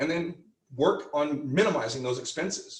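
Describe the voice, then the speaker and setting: This is a loud man's voice. Audible room echo can be heard. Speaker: real estate team leader and trainer. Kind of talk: training lecture.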